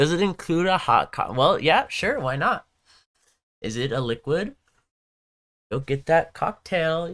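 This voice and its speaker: Speech in a Southern Californian accent moves at a very slow pace. Long pauses come often. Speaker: gaming livestreamer. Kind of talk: casual livestream chat. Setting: live stream. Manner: casual, filler-heavy.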